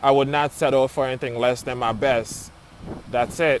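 A man with an American accent speaks at a medium pitch and with fairly even intonation, his voice dry with no echo over light background noise. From Florida, Haitian family. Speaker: architect. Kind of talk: personal testimony. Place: open country. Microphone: earbuds.

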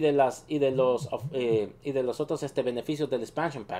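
Here a man speaks with a fairly high pitch, ordinary pitch variation and a moderate pace. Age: 30s. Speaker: gaming youtuber. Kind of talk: video commentary. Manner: halting, many fillers.

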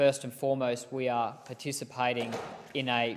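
An Australian accent comes through. The voice belongs to a man. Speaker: politician. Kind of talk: parliamentary speech. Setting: parliament chamber. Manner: formal. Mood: serious, earnest. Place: hall.

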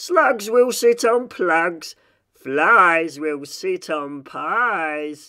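A man speaks very slowly in a put-on character voice, high in pitch with ordinary pitch variation. His tone is bright and sharp.

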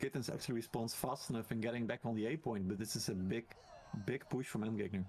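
Very fast and very even in loudness, a man speaks at medium pitch with fairly even intonation. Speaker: esports commentator. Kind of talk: live sports commentary on a game match.

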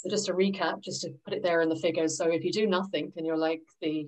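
A woman speaks at a very fast pace with a fairly low pitch. Her intonation is monotone and flat, and the background is quiet. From London, England. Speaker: financial advisor; presenter. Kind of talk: presentation to a workshop group. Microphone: video call.

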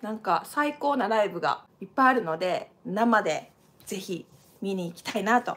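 With a Kansai accent, a woman speaks in an animated tone, her fairly high voice carrying lively intonation. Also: moderate pace, big swings in loudness. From Japan. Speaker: dancer and channel host; channel host. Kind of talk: live stream casual talk. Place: home room. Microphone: webcam.

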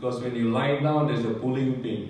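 A man's voice with strong room echo and light background noise. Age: 70s. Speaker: retiree giving product testimonial. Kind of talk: testimony. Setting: stage with audience. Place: hall. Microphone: pa.

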